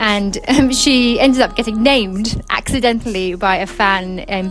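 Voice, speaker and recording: Behind the speech, music is playing. The voice is a woman's. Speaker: singer. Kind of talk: radio interview answer. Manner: casual, hesitant.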